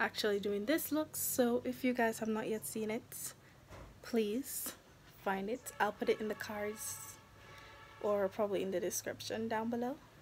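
Some light background noise is present. A woman talks at a moderate pace, her pitch varying in an ordinary way. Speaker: vlogger. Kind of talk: casual vlog chat. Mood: relaxed, cheerful. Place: home room. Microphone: phone near.

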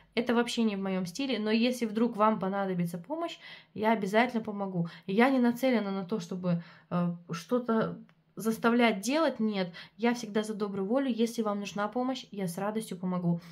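Using a fairly high pitch and ordinary pitch variation, a woman talks at a moderate pace. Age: 20s. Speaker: beauty product reviewer and sales consultant. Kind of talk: product review vlog. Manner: animated.

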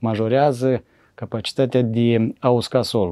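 Against a quiet background, a man speaks with a Moldovan accent. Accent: Moldovan Romanian. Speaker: forestry engineer; interview guest. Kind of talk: interview. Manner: hesitant, many fillers. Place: studio. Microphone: lapel.

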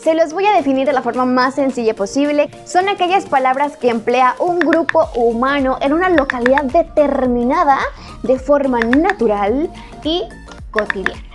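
Over clear background music, a woman talks at a moderate pace in a high pitch with lively intonation. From Chiapas, Mexico. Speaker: YouTuber. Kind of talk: casual talk to camera. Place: home room.

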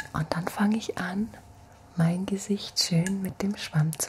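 A woman speaks softly at a medium pitch, her relaxed, gentle tone moving at a fairly slow pace with fairly even intonation over light background noise. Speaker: ASMR creator. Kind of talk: ASMR soft-spoken skincare routine demo. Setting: home, at night, filmed on camera. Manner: soft-spoken, gentle, slow and soothing; relaxed, chatty, intimate. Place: home room. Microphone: studio mic.

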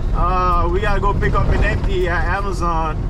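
Music plays in the background of a dry recording with no echo. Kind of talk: casual vlog chat. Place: car. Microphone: camera far.

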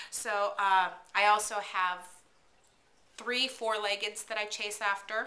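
A woman's bright, sharp voice at a medium pitch, monotone and flat in intonation, at a very slow pace. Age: 40s. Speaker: vlogger, work-at-home mom; mom blogger. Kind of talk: casual vlog monologue. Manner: hesitant, many fillers. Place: kitchen. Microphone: webcam.

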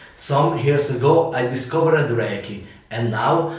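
A man with an Italian accent, medium pitch and ordinary pitch variation, with audible room echo. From Italy. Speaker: massage therapist. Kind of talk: casual talk to camera. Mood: smiling, friendly. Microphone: camera far.

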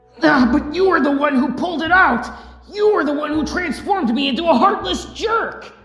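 A high-pitched, put-on character voice. There is a slight echo. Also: moderate pace. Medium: dub. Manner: distressed, defiant.

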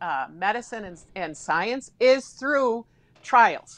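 Delivery is very slow, in an Upper Midwest accent. The pitch swings very widely. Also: woman. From Wisconsin (Somerset); Wisconsin. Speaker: former state senator, political commentator. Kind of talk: political discussion panel. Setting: live stream. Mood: earnest, arguing a point. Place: home room. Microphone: video call.

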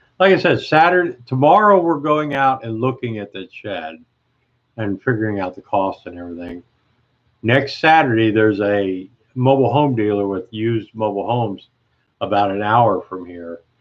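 In an American accent, a man talks at a moderate pace with lively intonation against a quiet background. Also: big swings in loudness. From Ohio. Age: 60s. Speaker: live streamer. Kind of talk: casual live chat. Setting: live stream at home. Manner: chatty, upbeat. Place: home room. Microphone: webcam.

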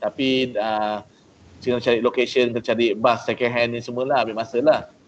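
The intonation is monotone and flat. A man keeps a moderate pace. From Malaysia. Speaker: entrepreneur; guest. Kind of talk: talk to trainees. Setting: video call. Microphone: video call.

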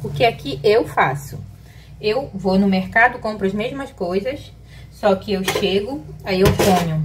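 Loud background noise accompanies speech delivered at a fairly slow pace. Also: woman. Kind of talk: casual cooking tutorial. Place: kitchen. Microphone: phone near.

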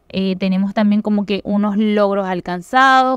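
This voice has a Venezuelan accent and moves at a fairly slow pace with ordinary pitch variation. The sound is dry and close, with no echo. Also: woman. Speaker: crypto YouTuber. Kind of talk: tutorial.

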